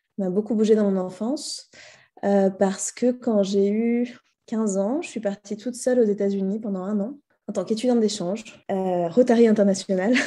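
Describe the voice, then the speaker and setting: Fairly high in pitch, a woman's voice carries a dark, mellow tone and fairly even intonation. She keeps a moderate pace in a very clean recording with a silent background. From France (Paris region, central France). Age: 30s. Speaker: entrepreneur. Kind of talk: podcast interview. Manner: hesitant, many fillers.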